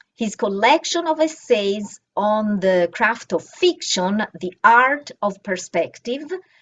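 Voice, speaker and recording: In an Italian accent, a woman speaks at a very slow pace with a fairly high pitch and very wide pitch swings. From Italy, Florence. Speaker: bookstore event coordinator and moderator. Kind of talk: moderated panel introduction, reading bios. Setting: video call event.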